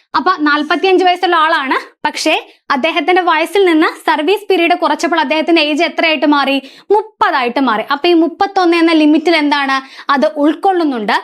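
A woman speaks at an extremely high pitch, with ordinary pitch variation. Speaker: exam coaching instructor. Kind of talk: tutorial.

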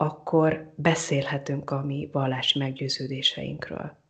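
A woman talks at a very slow pace with a very deep, low pitch. Her voice is somewhat breathy, with fairly even intonation. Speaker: psychologist. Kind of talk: interview. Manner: hesitant repetitions.

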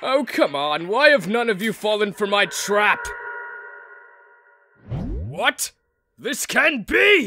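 A man's high-pitched, cartoonish character voice at a very slow pace with long, frequent pauses

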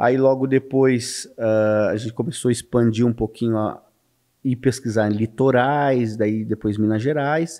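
Against a quiet background, a man speaks in a dark, mellow tone. His pace is fairly slow and his intonation fairly even. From São Paulo state, Brazil. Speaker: ufologist; podcast guest. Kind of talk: interview. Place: studio. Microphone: studio mic.

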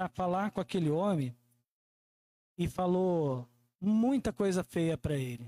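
With a Brazilian accent, this voice has a dark, mellow tone and lively intonation. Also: man. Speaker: preacher. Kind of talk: sermon. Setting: church. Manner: warm, earnest preaching, repeating phrases for emphasis; conversational, with frequent tag "né?". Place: church. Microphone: handheld.

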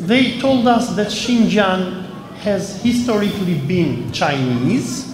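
In a room with audible echo and light background noise, a man with a high pitch speaks very slowly with lively intonation. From Albania. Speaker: historian and journalist; journalist. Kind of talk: interview testimony. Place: hall.

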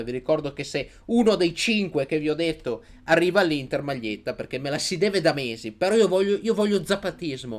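Loud and animated, a man talks at a fairly quick pace with lively intonation over light background noise. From Italy. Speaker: sports YouTuber, Inter fan commentator. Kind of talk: angry rant. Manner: loud, sarcastic, ranting. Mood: mocking, excited ranting. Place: home room. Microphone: studio mic.

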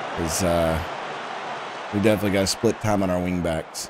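A very fast, animated man with an American accent, over noticeable background noise. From United States. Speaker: gaming streamer. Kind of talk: live game commentary. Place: home room.

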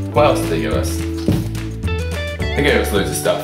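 A man's voice with clear music in the background. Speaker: vlogger. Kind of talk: casual talk to camera. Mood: grateful, happy. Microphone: webcam.

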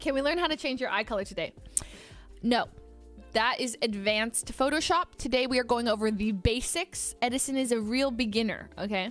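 Over faint music in the background, a woman talks at a moderate pace and a high pitch with ordinary pitch variation, the sound dry with no echo. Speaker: livestreamer. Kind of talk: casual stream chat with viewers. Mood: playful, laughing. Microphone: studio mic.

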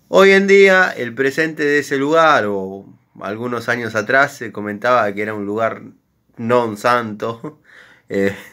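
Against a quiet background, a man speaks with an Argentine accent at medium pitch and a fairly slow pace. His tone is bright and sharp, and his intonation is lively. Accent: Rioplatense Argentine Spanish. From Argentina, Buenos Aires. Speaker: workshop YouTuber. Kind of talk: casual chat. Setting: workshop. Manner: unscripted, halting. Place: workshop. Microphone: phone near.

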